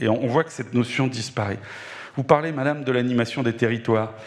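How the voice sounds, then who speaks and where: The man's pitch varies normally, and noticeable noise runs behind his voice. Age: 60s. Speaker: doctor in audience. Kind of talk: audience question.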